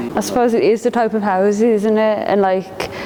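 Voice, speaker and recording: Noticeable background noise sits behind this voice. A woman talks at a fairly quick pace in a flat monotone. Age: 30s. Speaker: artist. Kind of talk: casual interview. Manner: hesitant, filler-heavy.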